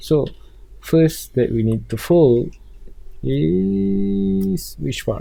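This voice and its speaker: A man's medium-pitched, somewhat breathy voice with lively intonation and a dark, mellow tone. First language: not English. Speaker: 3D design tutorial creator. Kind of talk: tutorial. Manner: halting.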